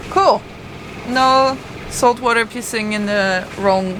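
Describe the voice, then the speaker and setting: With a French accent, a woman speaks at medium pitch over noticeable background noise. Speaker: sailing vlogger. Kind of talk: casual chat.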